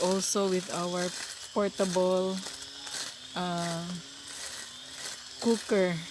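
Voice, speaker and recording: A woman of medium pitch speaks at a very slow pace. Noticeable background noise runs underneath. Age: old. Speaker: retired teacher. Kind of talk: casual vlog talk to camera.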